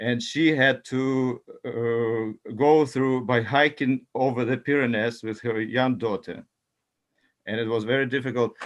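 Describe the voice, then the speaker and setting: The man's medium-pitched voice, with a non-native accent and fairly even intonation, comes over a quiet background. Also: fairly slow pace. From Ukraine. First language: not English. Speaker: talk circle participant. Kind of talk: group discussion. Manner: halting.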